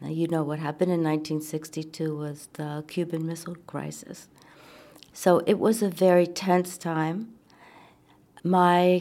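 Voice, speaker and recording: With an American accent, a woman speaks fairly slowly at a fairly low pitch, her tone dark and mellow and her intonation monotone and flat. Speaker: co-founder of peace camp. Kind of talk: interview.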